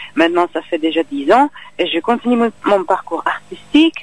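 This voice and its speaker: Her fairly high voice swings very widely in pitch as the woman talks fairly slowly, in a dry, close sound with no echo. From Czech Republic. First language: Czech (speaking French). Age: young. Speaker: actress and singer. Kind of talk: interview. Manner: halting.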